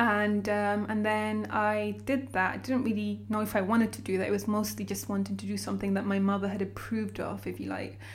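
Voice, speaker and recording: A woman with a London accent talks at a fairly quick pace with hardly any pauses. Audible room echo surrounds her voice. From London, raised from age nine after childhood in Sudan. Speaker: banker and coffee brand founder. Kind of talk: casual interview. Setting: in person.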